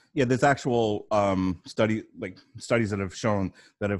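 Delivered at a fairly quick pace, this is a plain, everyday voice with an American accent. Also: man. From New York. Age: 40s. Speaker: podcast host and social worker. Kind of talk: casual interview.

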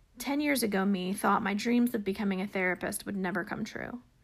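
The somewhat breathy voice moves at a fairly quick pace with ordinary pitch variation. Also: woman. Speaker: podcast host. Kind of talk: casual interview.

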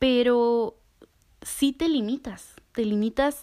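She speaks with a Mexican accent. The voice is a woman's. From Mexico. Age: 20s. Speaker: podcast host. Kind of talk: casual monologue; guided visualization.

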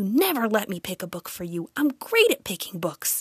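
Whispering and hissing in a put-on character voice, a woman talks at a moderate pace. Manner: hissed, urgent whisper.

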